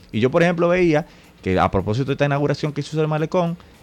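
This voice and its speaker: A man talks very fast. Music can be heard in the background. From Dominican Republic, Santo Domingo. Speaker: radio host and political activist. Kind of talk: political talk radio discussion. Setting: radio studio.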